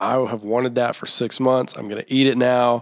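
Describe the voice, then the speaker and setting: A man at a fairly quick pace. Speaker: podcast host. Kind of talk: casual interview. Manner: high energy.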